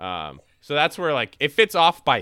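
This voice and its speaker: On a very clean recording with a silent background and a dry, close sound with no echo, a man with a fairly high voice, a bright, sharp tone and vocal fry speaks at a fairly slow pace with very wide pitch swings. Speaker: podcast host. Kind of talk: casual chat.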